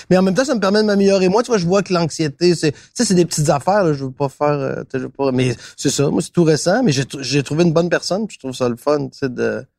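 A man's very fast, fairly high-pitched talk with lively intonation and hardly any pauses, in a dry, close sound with no echo. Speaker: TV host and actor. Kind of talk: casual chat over lunch.

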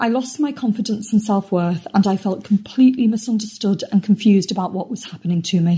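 A woman with a British accent talks at a fairly quick pace with hardly any pauses, her somewhat breathy voice dark and mellow in tone, medium in pitch, with ordinary pitch variation. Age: 50s. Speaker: member testimonial. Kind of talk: testimony. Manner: scripted, read-aloud delivery.

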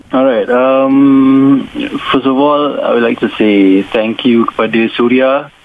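Noticeable background noise runs beneath a man speaking at a very slow pace. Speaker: singer. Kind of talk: radio interview. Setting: phone call.

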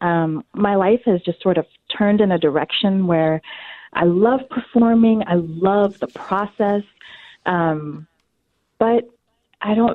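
Her American accent clear, a woman speaks at a very slow pace with a medium pitch and ordinary pitch variation. Long, frequent pauses run through her speech. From US South (North Carolina). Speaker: theater casting director. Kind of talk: interview. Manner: animated.

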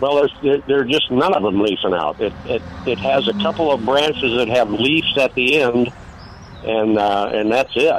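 The speaker, with an American accent, uses lively intonation against noticeable background noise. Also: man, medium pitch for a man, moderate pace. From Wisconsin. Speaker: caller. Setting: phone call.

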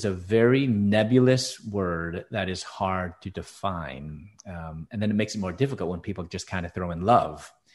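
Over a quiet background, a man with an American accent speaks in an unremarkable speaking voice. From Chicago, US Midwest. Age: 50s. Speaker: author and speaker. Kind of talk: interview testimony.

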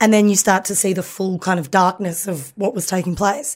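A woman talks at a fairly quick pace with an Australian accent. Her intonation is fairly even, and the recording is very clean with a silent background. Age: 30s. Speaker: comedian. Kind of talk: casual chat.

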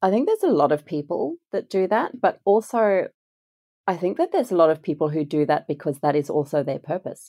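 Against a silent background in a very clean recording, the voice has a dark, mellow tone, dry and close with no echo, moving at a fairly quick pace. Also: woman, fairly low pitch for a woman, lively intonation. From France. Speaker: transformational coach and shamanic healer. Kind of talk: casual interview chat.

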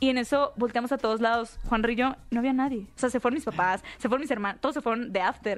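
Very fast speech with very even loudness and hardly any pauses. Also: woman, high pitch for a woman, ordinary pitch variation. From northern Mexico, Hermosillo, Sonora. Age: 20s. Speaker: content creator and activist. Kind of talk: interview.

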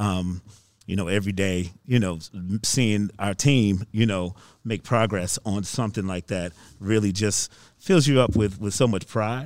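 Using a plain, everyday voice, this man talks at a fairly low pitch and a moderate pace. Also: ordinary pitch variation, very clean recording, silent background. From Virginia. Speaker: theater managing director. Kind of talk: interview.

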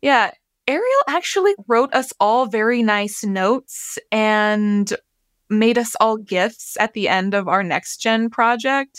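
A woman speaks at a very slow pace in a fairly high pitch, with ordinary pitch variation and very even loudness. The recording is very clean, with a silent background and a dry, close sound with no echo. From Wind River Reservation, Wyoming. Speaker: journalist mentor. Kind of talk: interview.

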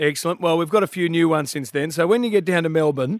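With an Australian accent, the speaker talks at a very fast pace with ordinary pitch variation. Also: man. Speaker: radio host. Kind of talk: breakfast radio show. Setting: studio. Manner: animated.

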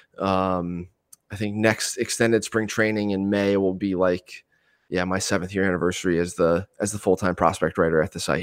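Very clean recording with a silent background of a man with an American accent, very deep, low pitch, monotone, flat intonation and a moderate pace. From Eastern Pennsylvania. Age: 30s. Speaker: baseball prospect analyst. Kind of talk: casual interview.

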